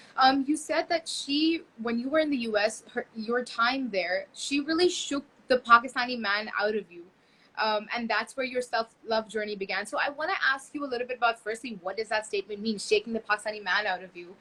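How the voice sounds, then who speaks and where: A woman with a fairly high voice, lively intonation, big swings in loudness and a fairly quick pace, over noticeable background noise. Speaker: podcast host. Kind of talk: interview.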